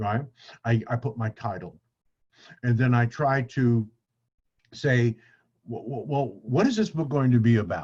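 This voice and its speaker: Somewhat breathy and in a medium pitch with ordinary pitch variation, a man speaks at a moderate pace with long, frequent pauses. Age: 70s. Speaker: author and speaker. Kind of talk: casual interview conversation.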